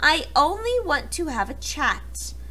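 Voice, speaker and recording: Put-on character voice at a fairly slow pace over clear background noise. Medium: read story. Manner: sly, smooth.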